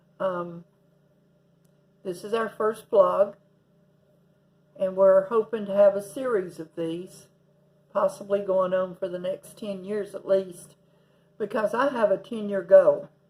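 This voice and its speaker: With an East Tennessee accent, a woman speaks at a medium pitch with fairly even intonation, big swings in loudness and long, frequent pauses. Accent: Southern US (East Tennessee). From US South, Tennessee. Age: 60s. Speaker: vlogger. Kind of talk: casual vlog monologue. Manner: halting, many fillers.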